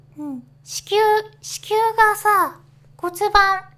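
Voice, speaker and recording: A woman projects her voice, raised and loud. Her tone is bright and sharp, with ordinary pitch variation. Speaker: virtual YouTuber. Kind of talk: casual talk to camera. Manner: hesitant, stammering.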